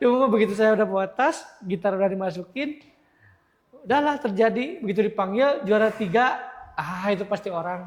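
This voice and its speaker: With a strong West Javanese accent, a man talks at a fairly quick pace in a high pitch. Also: ordinary pitch variation. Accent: strong Sundanese. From Indonesia, West Java (Sumedang). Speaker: guitarist. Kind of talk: interview.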